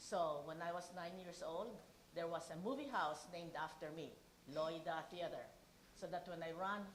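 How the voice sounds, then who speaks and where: In a room with audible echo, a woman with a Filipino accent talks at a moderate pace in a fairly low pitch with ordinary pitch variation. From Philippines. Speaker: keynote speaker. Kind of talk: speech.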